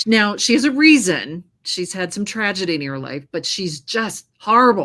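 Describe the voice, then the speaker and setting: A woman speaks at a moderate pace with a bright, sharp tone, her pitch swinging very widely. Her loudness swings a lot, and the recording is very clean with a silent background. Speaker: audiobook narrator. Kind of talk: casual chat.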